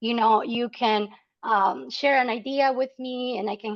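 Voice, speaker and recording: A woman with a Salvadoran accent, fairly high in pitch, at a moderate pace with ordinary pitch variation. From El Salvador. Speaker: nonprofit membership officer. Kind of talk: webinar presentation. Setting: online webinar. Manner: hesitant with fillers.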